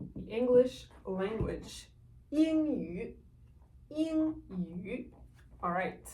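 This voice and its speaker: Speaking very slowly at a fairly high pitch, a woman makes very wide pitch swings and big swings in loudness, with long, frequent pauses and audible room echo. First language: French. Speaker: language teacher. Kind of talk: tutorial.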